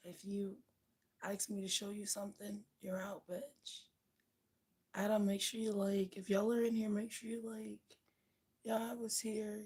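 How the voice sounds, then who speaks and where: Somewhat breathy and flat in intonation, a woman with a medium pitch speaks at a fairly slow pace with long, frequent pauses. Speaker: livestreamer. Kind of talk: casual chat. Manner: casual, chatty.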